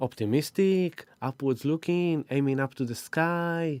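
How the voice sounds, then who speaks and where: A man with a non-native accent speaks at a fairly high pitch with ordinary pitch variation. The recording is very clean and silent behind him, with a dry, close sound and no echo. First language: not English. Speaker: spiritual astrology live-streamer. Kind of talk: live stream talk. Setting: live stream.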